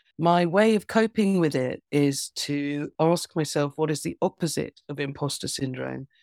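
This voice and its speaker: In an English accent, a woman speaks at a moderate pace in a very deep, low pitch with ordinary pitch variation, the sound dry and close with no echo and the recording very clean with a silent background. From England. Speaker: author and performance poet. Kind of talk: casual interview.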